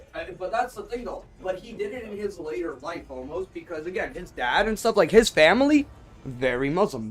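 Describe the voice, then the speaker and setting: Backed by music, a man speaks at a fairly quick pace with very wide pitch swings. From Azerbaijan. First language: Russian. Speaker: streamer. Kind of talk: casual chat. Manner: halting, many restarts.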